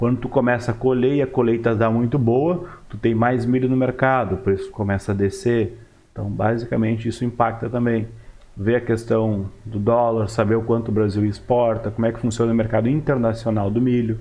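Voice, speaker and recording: A man's medium-pitched voice moves at a fairly quick pace, with fairly even intonation. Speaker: market analyst YouTuber. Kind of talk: market commentary tutorial. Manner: fast; casual.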